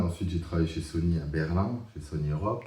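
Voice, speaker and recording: A man's very deep, low voice, dark and mellow in tone and somewhat breathy, at a moderate pace with audible room echo. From Alsace, France. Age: 50s. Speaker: business consultant. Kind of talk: interview testimony. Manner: hesitant, many fillers.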